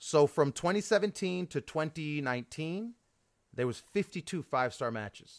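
In a very clean recording with a silent background and a dry, close sound with no echo, a man with a fairly high pitch speaks at a moderate pace in an animated, energetic tone with lively intonation. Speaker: podcast host. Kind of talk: casual banter.

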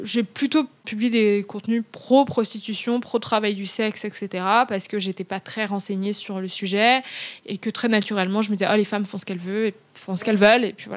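A plain, everyday voice at a moderate pace, with big swings in loudness and fairly even intonation. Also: woman, medium pitch for a woman. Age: 30s. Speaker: author and Instagram influencer. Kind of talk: interview conversation.

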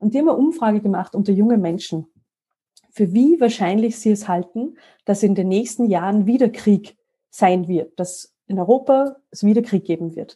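A woman speaks at a medium pitch and moderate pace, somewhat breathy, with a dark, mellow tone and ordinary pitch variation. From Austria, Salzburg mountains. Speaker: EU information network staff. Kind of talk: interview. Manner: animated.

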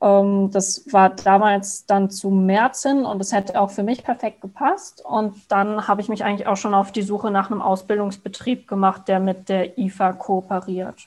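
A woman speaks in a plain, everyday voice at a medium pitch. Her pace is moderate with hardly any pauses and fairly even intonation. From Palatinate, Germany (Frankenthal). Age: 20s. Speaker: fitness product manager, former trainee. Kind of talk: podcast interview.

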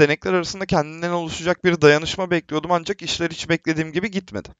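This man's voice is high in pitch. He speaks at a very fast pace. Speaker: film student. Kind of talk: casual discussion.

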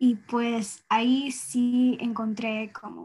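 Recorded very cleanly with a silent background, a woman speaks at a fairly high pitch. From US and rural Ecuador, Ecuadorian parents. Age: young. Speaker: environmental activist, university student. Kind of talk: interview. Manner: halting, many fillers.

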